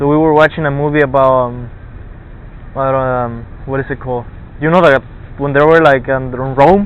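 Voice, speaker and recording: A man with a fairly high pitch talks at a fairly quick pace, using fairly even intonation and long, frequent pauses, with noticeable background noise behind him. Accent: Spanish. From Argentina. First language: Spanish. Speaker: college student. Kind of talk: casual chat. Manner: halting.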